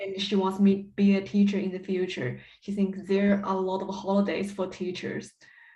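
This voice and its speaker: In a Chinese accent, a woman of medium pitch speaks at a moderate pace with hardly any pauses. Her intonation is monotone and flat, and room echo can be heard. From China. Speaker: PhD candidate and music teacher. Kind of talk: interview. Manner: halting.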